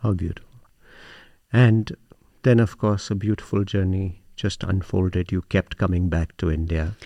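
Speaking at a moderate pace with long, frequent pauses, a man with a very deep, low pitch and a dark, mellow tone keeps his intonation fairly even, recorded with a dry, close sound, no echo and a quiet background. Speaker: podcast host. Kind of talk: interview. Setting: on location at a meditation center.

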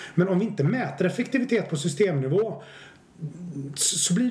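A high male voice at a moderate pace with lively intonation, audible room echo and noticeable background noise. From Swedish west coast, Stenungsund. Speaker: business researcher and author. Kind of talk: podcast interview.

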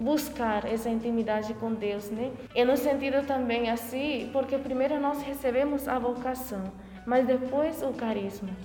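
A woman talks at a fairly slow pace with a high pitch and fairly even intonation. Audible room echo and noticeable background noise fill the recording. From rural Paraguay. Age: 20s. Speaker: novice nun. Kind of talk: interview testimony.

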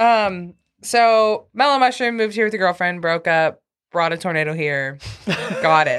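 Using a plain, everyday voice, a woman speaks at a moderate pace with lively intonation. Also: medium pitch for a woman. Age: 30s. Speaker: podcast host. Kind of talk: casual chat.

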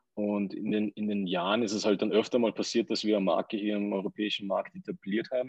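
A man's fairly low voice at a very fast pace, monotone and flat in intonation, with a dry, close sound and no echo. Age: 30s. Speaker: entrepreneur. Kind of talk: interview.

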